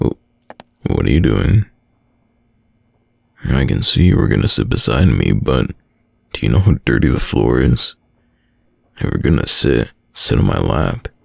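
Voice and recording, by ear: A man's put-on character voice, extremely low in pitch with vocal fry, big pitch swings, a fairly slow pace and long, frequent pauses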